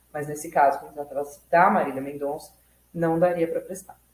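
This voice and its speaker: A woman talks at a moderate pace with fairly low pitch. It is an unremarkable speaking voice. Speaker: law student and YouTube educator. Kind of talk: tutorial. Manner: casual, self-correcting.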